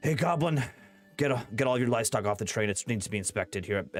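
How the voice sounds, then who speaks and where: A man puts on a gruff character voice at a medium pitch. He races at a very fast pace while faint music plays in the background. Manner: gruff, commanding.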